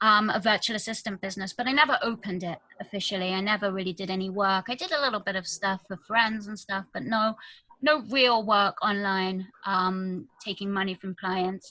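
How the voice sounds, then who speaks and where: With a British accent, a woman speaks fairly quickly in a bright, sharp tone at a medium pitch with ordinary pitch variation. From UK. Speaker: virtual assistant and business consultant. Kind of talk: interview.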